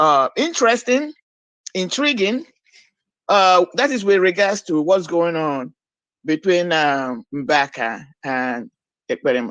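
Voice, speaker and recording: A woman talks at a fairly slow pace in a Nigerian accent. Her pitch makes very wide swings. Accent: Nigerian Igbo English. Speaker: caller. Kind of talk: call-in commentary.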